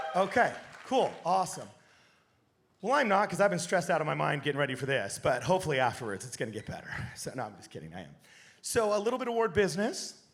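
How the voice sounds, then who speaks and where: A man's high, very fast voice with very wide pitch swings, long and frequent pauses, and audible room echo. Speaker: podcaster giving a talk. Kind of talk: stage presentation. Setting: stage with audience on a cruise. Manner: animated.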